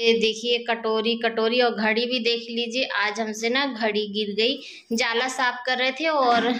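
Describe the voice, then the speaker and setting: A woman talking at a fairly slow pace, with fairly even intonation over light background noise. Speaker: home vlogger. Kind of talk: casual vlog chat. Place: kitchen. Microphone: phone near.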